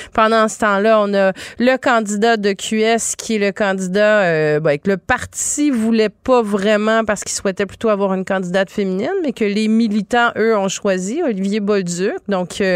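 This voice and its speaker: This woman has an unremarkable speaking voice with a medium pitch and ordinary pitch variation. She goes at a moderate pace in dry, close sound with no echo. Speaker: radio host. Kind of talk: talk radio interview.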